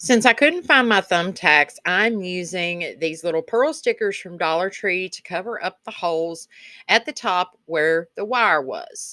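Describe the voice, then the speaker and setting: Woman with a Kentucky accent, medium-pitched, bright and sharp in tone, with lively intonation at a fairly slow pace, in a very clean, dry, close recording with no echo and a silent background. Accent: Southern US accent (Kentucky). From Kentucky, US South. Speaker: DIY crafts video creator. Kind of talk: craft tutorial voiceover. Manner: chatty, casual.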